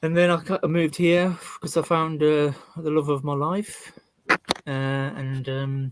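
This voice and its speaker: A man with a West Midlands accent speaks at a fairly slow pace with fairly even intonation. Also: fairly high pitch for a man. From West Midlands, England. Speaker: YouTuber and carpenter. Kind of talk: interview answers.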